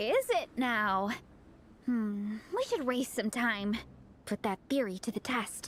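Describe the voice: In a put-on character voice, a woman speaks at a fairly high pitch with a fairly bright tone, big pitch swings, a slow pace, and long, frequent pauses.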